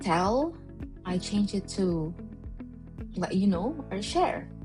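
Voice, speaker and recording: Very slow speech from a woman, music playing behind her. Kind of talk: casual talk to camera.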